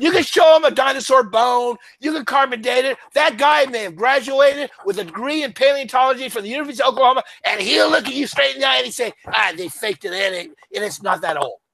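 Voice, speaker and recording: An animated man with an American accent talks at a very fast pace, his extremely high pitch rising and falling with lively intonation. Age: 70s. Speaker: author and economic commentator. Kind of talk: interview. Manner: halting.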